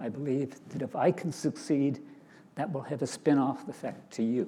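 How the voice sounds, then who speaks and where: A man's fairly high voice with a dark, mellow tone, a moderate pace and ordinary pitch variation. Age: 80s+. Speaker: angel investor. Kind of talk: panel discussion. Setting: stage with audience.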